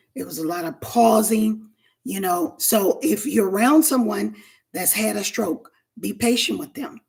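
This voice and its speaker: A woman speaks at a fairly slow pace in a fairly high pitch. Vocal fry runs through her voice, and her pitch variation is ordinary. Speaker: stroke survivor and wellness coach. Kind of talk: educational talk. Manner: halting.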